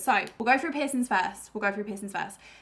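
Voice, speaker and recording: A woman at a fairly high pitch and a very fast pace, with noticeable background noise. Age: 20s. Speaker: YouTuber. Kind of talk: casual chat.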